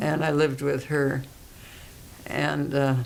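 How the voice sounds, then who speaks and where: Over noticeable background noise, a woman with a very deep, low voice speaks in a flat monotone. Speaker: retired psychiatric social worker. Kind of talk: oral history interview answer.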